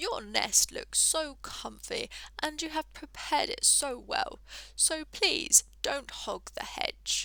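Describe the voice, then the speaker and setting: Whispering in a croaky, put-on character voice, a woman speaks at a fairly slow pace. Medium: read story.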